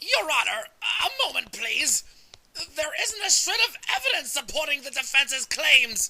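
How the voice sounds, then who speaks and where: In a put-on character voice, the speaker goes extremely high in pitch with very wide swings, keeping a moderate pace. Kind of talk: courtroom speech. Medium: fan dub.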